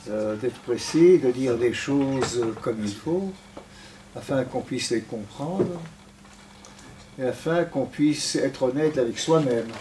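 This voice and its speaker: A man of medium pitch talks at a fairly slow pace with long, frequent pauses and ordinary pitch variation, against noticeable background noise. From Belgium (Antwerp), later Israel. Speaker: retired diplomat and guest speaker. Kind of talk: lecture testimony. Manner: halting, searching for words.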